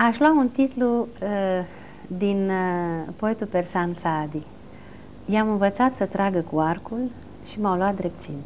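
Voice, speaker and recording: Speaking very slowly with long, frequent pauses, a woman at medium pitch uses lively intonation over light background noise. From Romania, Bucharest. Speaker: film historian; interview guest. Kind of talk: television interview. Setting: TV studio. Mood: calm, reflective. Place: studio. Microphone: lapel.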